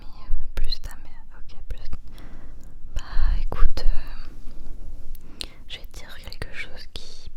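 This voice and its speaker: Whispering in a soothing tone, a woman speaks at a very slow pace over noticeable background noise. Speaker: ASMR creator. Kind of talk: ASMR roleplay comfort talk to help sleep. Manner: whispered, soothing.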